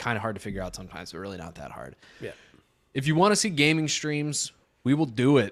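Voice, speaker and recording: In a very clean recording with a silent background, a man with an American accent speaks at a very fast pace, his pitch swinging very widely. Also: medium pitch for a man. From Chicago. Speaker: podcast host. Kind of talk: casual chat.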